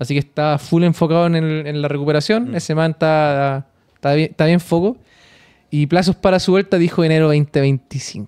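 A man speaks at a moderate pace with a Chilean accent and a fairly high pitch. His pitch varies in an ordinary way against a quiet background. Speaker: podcast co-host. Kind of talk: casual chat. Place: studio. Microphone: studio mic.

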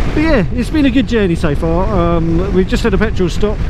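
A woman talking at a very fast pace, dry sound with no echo, noticeable background noise behind her. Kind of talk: casual vlog chat. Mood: cheerful, self-mocking. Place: motorbike. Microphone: helmet.

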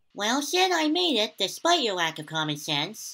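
In a cartoonish character voice, a man speaks at a high pitch with very wide pitch swings, recorded very cleanly against a silent background. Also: moderate pace. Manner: gruff, dry, suspicious.

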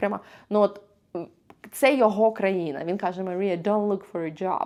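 A quiet background surrounds the speaker. The tone is dark and mellow. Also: woman. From Ukraine. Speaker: vlogger. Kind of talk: vlog monologue to camera.

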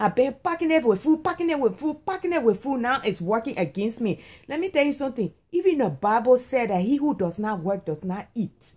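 A high-pitched woman is talking. Her pitch swings very widely. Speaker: comedic vlogger. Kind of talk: casual comedic monologue. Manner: sluggish, whiny voice lying down. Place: home room. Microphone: phone near.

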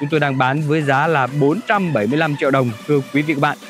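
A man speaks with a dry sound and no echo. Faint music plays in the background. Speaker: presenter. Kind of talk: sales presentation. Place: street.

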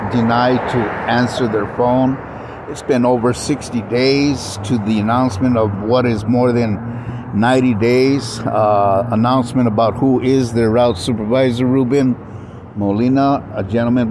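Fairly slow and with fairly even intonation, a man speaks in a dry recording with no echo, though there is noticeable background noise. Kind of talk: complaint monologue to camera. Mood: aggrieved, complaining. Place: street. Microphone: phone near.

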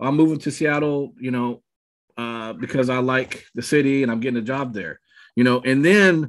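A man is speaking with ordinary pitch variation. Behind him the background stays quiet. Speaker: real estate team coach. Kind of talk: training talk on a video call. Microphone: webcam.

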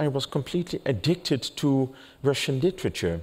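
There is a Dutch accent in this man's speech. He talks at a moderate pace with ordinary pitch variation. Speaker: journalist and writer on stage. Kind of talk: moderated public conversation. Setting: stage with audience. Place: stage. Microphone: headset.

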